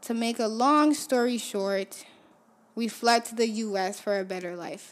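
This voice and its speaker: A woman speaks at a fairly high pitch with fairly even intonation. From Haiti, Port-au-Prince. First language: Haitian Creole. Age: 20s. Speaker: podcast host. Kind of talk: personal monologue.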